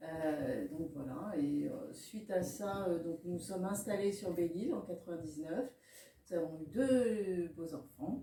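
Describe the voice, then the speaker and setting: Her pace is very slow, and her intonation is lively. The woman's pitch is fairly low, with noticeable background noise behind her. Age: 50s. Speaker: herbalist and naturopath shop owner. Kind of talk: interview. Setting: in her shop. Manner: hesitant, many fillers.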